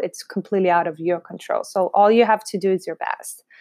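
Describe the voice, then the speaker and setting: A woman speaks with a Portuguese accent at a medium pitch. The background is quiet. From Brazil. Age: 30s. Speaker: podcast host and realtor. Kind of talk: casual monologue.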